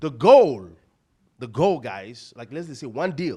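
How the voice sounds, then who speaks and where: The speaker sounds animated and talks with a Nigerian accent. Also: man. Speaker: real estate investor and coach. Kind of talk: seminar presentation. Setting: stage with audience.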